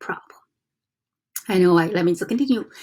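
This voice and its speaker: Speaking with a Chinese accent, a woman uses a medium pitch and fairly even intonation. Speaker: self-development vlogger. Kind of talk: casual teaching monologue. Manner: halting, with fillers and self-corrections.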